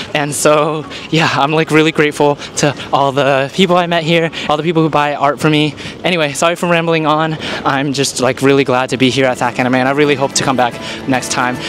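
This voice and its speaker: Over noticeable background noise, a man speaks with a General American accent and fairly even intonation. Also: very even loudness. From US West, Sacramento area. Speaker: artist vlogger. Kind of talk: casual vlog. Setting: convention hall. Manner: fast.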